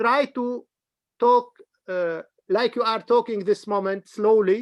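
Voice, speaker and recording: This man speaks at a fairly slow pace and a high pitch. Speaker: interviewer, academic. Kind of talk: casual chat. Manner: halting.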